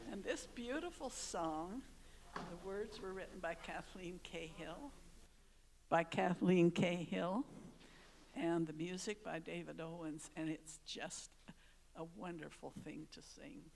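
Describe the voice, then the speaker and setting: A woman speaks at a fairly slow pace in a fairly low voice, with lively intonation and big swings in loudness. Long, frequent pauses break up her speech amid audible room echo. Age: 80s+. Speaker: church member introducing a song. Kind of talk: song introduction. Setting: church service.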